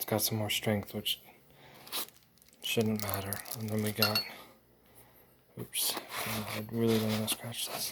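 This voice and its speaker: A man speaks quietly at a fairly low pitch and fairly slow pace, in a monotone, flat intonation with long, frequent pauses. Noticeable background noise runs underneath. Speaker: flashlight reviewer. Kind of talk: unboxing. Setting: at home at night. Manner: quiet, kept low.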